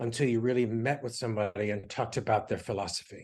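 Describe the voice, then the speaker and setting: Over a quiet background, a man speaks at a very fast pace, sounding somewhat breathy. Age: 60s. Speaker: interior design author. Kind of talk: interview. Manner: halting, many fillers.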